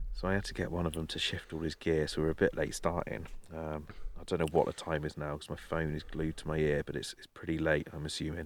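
Speaking at a very fast pace, a man with an English accent has a very deep, low pitch and monotone, flat intonation. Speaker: carp fishing podcast co-host. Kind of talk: casual chat. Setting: outdoors by a lake at night. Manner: loud.

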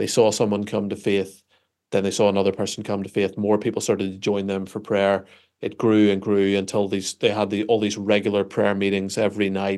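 With a Northern Irish accent, a man speaks fairly quickly in a fairly low pitch and a monotone, flat intonation against a quiet background. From Northern Ireland. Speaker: pastor. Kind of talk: interview.

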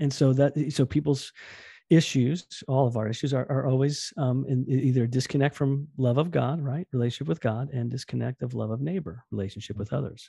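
A man with an American accent talks at a fairly quick pace in a medium pitch, his tone dark, mellow and somewhat breathy. His pitch varies in an ordinary way, and the background is quiet. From New Jersey. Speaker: youth pastor. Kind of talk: interview. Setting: remote call. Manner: fast, excitable.

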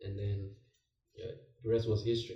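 A somewhat breathy, dark and mellow voice with monotone, flat intonation at a fairly quick pace. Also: man. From Nigeria. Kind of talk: casual chat.

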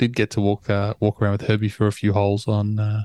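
Fairly low, dark, mellow male voice with an Australian accent, at a moderate pace, dry and close with no echo, on a very clean recording with a silent background. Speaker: golf podcast co-host. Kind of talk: casual chat.

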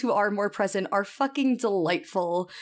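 A woman's plain, everyday voice at a medium pitch and moderate pace, on a very clean recording with a silent background. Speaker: podcast host and editor. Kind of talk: casual chat.

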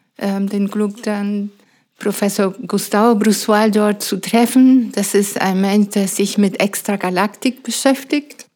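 A woman with a Spanish accent speaks at a very slow pace with fairly even intonation. Her medium-pitched voice has a dark, mellow tone. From Venezuela, Mérida. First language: Spanish (speaking German). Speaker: astrophysicist and science educator. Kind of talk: interview. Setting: in her home.

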